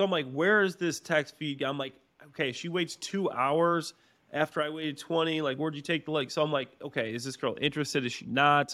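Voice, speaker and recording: A man speaks at a fairly quick pace in a fairly high pitch, with ordinary pitch variation. His tone is bright and sharp. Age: 30s. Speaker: podcast co-host and former NFL player. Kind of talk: casual chat.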